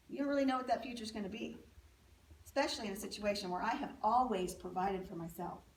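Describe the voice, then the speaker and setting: A woman at medium pitch speaks at a very fast pace amid noticeable background noise and audible room echo. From US, military family, moved around. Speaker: speaker sharing life story. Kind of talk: testimony.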